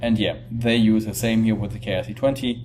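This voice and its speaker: A man with a non-native accent speaks at a moderate pace and fairly low pitch. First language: not English. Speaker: crypto video presenter. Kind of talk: tutorial. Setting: temporary setup while on vacation. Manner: halting, with fillers.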